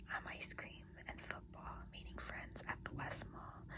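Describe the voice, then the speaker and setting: A woman whispers fairly slowly while noticeable background noise fills the recording. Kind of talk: poetry reading. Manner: whispered, soft-spoken.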